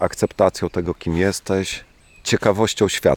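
A man's fairly even intonation comes through a dry, close sound with no echo. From eastern Poland, Włodawa. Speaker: scientist and local volunteer organizer. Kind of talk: interview with field recording, reflective talk. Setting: outdoors by the river.

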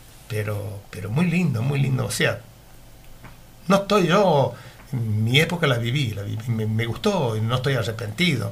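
Audible room echo surrounds a man of medium pitch whose lively intonation comes at a fairly slow pace. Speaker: retired meat delivery worker. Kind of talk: radio interview, reminiscing. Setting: radio studio. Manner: halting, repetitive.

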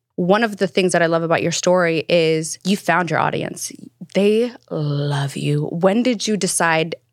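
A woman speaks in a normal speaking voice. Her pitch is fairly low, with ordinary pitch variation. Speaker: podcast host. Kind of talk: interview, conversational.

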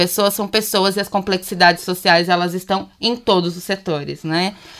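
This woman has a bright, sharp tone. She talks at a fairly slow pace. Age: 30s. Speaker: social entrepreneur. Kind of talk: casual chat.

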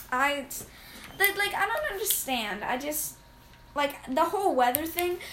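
Her high voice swinging very widely in pitch, a woman speaks at a moderate pace amid audible room echo. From Arizona. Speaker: podcast co-host. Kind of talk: casual chat. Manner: halting, many fillers.

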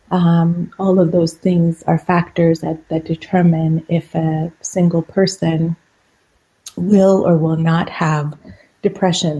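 Very slowly and in a monotone, flat intonation, a woman with a fairly low pitch speaks in a dark, mellow tone that is somewhat breathy. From Iran. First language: Persian. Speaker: psychiatrist.

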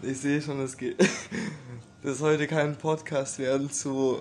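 Long, frequent pauses break up a monotone, flat intonation over noticeable background noise. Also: man. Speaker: podcast host. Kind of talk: casual chat.

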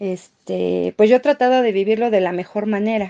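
The sound is dry and close, with no echo. A woman with a fairly high pitch and a dark, mellow tone speaks at a moderate pace. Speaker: market vendor. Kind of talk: interview.

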